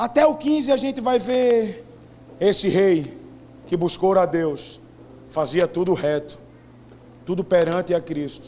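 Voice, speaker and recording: A man's high voice with very wide pitch swings, a fairly slow pace and long, frequent pauses. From Brazilian Northeast. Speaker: preacher. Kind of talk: sermon.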